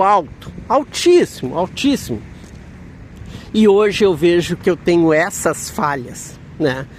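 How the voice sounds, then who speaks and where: Noticeable background noise sits behind this man's voice. He speaks fairly slowly at a high pitch. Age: 60s. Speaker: vlogger. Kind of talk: casual vlog monologue. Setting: outside a health center.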